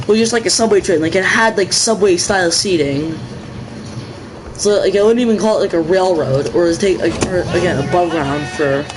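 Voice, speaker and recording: A man's high voice in an American accent, animated and excited in tone, with lively intonation at a moderate pace over noticeable background noise. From New England, US (Boston area). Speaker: gaming livestreamer. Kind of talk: casual livestream chat while gaming. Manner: halting, many fillers and restarts; animated, excited outbursts.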